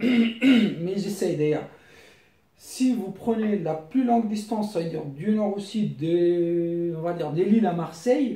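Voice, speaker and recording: In a room with audible echo, a man with a high pitch speaks at a very slow pace, his pitch varying in an ordinary way. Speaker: YouTuber giving money-saving tips. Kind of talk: casual tutorial. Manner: halting.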